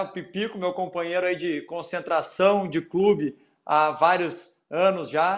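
Against a quiet background, a man with a high voice talks at a fairly slow pace and with fairly even intonation. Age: 30s. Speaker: footballer and podcast host. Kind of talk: casual interview chat.

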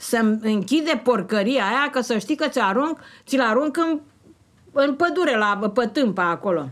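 A high-pitched woman's voice with very even loudness. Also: fairly slow pace. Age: 80s+. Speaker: retiree, fanzine maker. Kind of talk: casual conversation, storytelling. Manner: animated.

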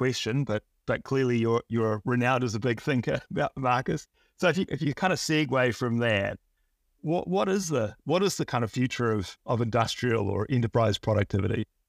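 A man with an unremarkable speaking voice talks at a fairly quick pace and medium pitch, his intonation lively. His loudness stays very even on a very clean recording with a silent background and a dry, close sound with no echo. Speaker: podcast host. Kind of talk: casual interview.

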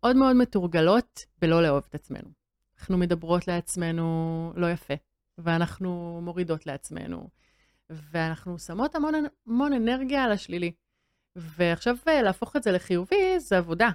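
With an ordinary speaking voice, a woman talks at a moderate pace in a fairly low pitch with lively intonation, the sound dry and close with no echo. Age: 30s. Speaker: model and body image activist. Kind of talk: interview.

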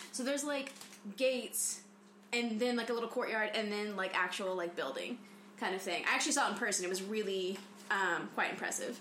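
Through noticeable background noise, a woman talks fairly quickly at a fairly high pitch with ordinary pitch variation. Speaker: podcast co-host. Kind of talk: casual chat.

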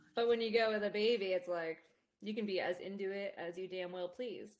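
A woman at a medium pitch uses an unremarkable speaking voice with fairly even intonation. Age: 30s. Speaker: mother and friend of the host. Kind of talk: casual chat.

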